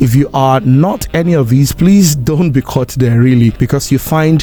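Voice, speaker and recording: A man talks at a moderate pace at medium pitch with ordinary pitch variation while music plays in the background. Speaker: broadcaster, voiceover artist. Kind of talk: casual talk to camera.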